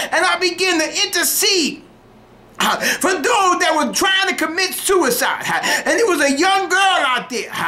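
In a raised, projected voice with very even loudness, a man speaks at an extremely high pitch and a fairly slow pace, with ordinary pitch variation. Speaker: preacher. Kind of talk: fervent radio altar-call sermon, pleading with listeners to get saved now. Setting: radio broadcast. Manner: impassioned, rhythmic whooping cadence punctuated by huh and hallelujah; repetitive, urgent exhortation. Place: studio. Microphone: studio mic.

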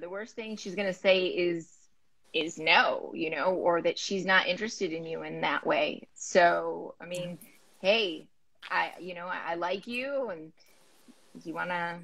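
A woman with a fairly low pitch and fairly bright tone speaks at a fairly slow pace with ordinary pitch variation.

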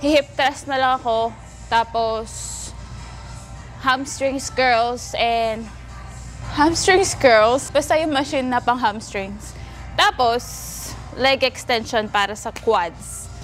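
A woman with a high pitch speaks at a very slow pace, leaving long, frequent pauses. Her pitch varies in an ordinary way, with faint music in the background. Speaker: fitness vlogger. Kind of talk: casual vlog chat. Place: gym. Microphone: lapel.

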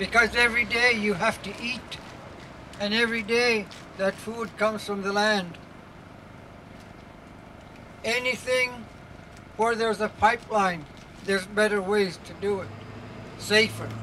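A man uses a raised, projected voice at a fairly slow pace, his intonation monotone and flat. Long, frequent pauses break it up, with light background noise behind. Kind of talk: rally speech. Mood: earnest and firm. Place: street. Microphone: handheld.

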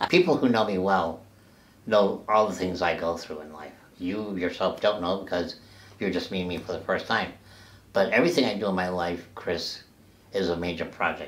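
A man speaks at a moderate pace in a very deep, low voice. His intonation is fairly even, with big swings in loudness. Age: 70s. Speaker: person with brittle bone disease; interviewee. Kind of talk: interview. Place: home room.

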